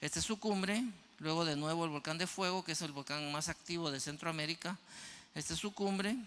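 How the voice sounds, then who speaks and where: The tone is bright and sharp, with ordinary pitch variation. Delivery moves at a fairly quick pace. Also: man, high pitch for a man. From Guatemala. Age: 60s. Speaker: mountaineer and motivational speaker. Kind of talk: audience Q&A; keynote talk.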